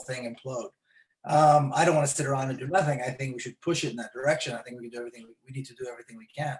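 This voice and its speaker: A somewhat breathy man with an Israeli accent, very fast pace and fairly even intonation. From Israel, Jerusalem. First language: Hebrew. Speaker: author and human rights activist. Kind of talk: live webinar interview.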